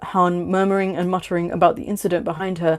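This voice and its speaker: Someone speaks at a very fast pace in a British accent, on a very clean recording with a silent background. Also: woman. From Bangladesh. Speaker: livestreamer reading own fiction. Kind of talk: casual chat; reading aloud. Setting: livestream. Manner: stuttering.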